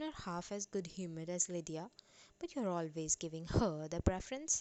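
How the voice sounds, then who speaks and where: A woman with an Indian accent speaks in a fairly low pitch. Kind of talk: audiobook narration.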